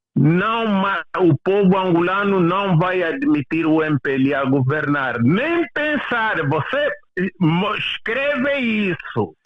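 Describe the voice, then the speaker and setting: The speech moves at a very slow pace. There are hardly any pauses. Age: 70s. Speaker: political commentator. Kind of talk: casual debate. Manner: animated.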